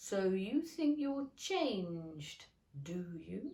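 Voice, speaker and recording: A woman's put-on character voice at medium pitch, very slow, with very wide pitch swings. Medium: read story. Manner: curt, short remarks.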